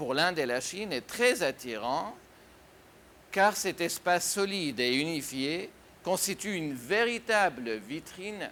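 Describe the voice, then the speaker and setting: A man talks at a fairly slow pace in a bright, sharp tone, his pitch swinging very widely. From Syria. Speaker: writer and businessman. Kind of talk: interview answer.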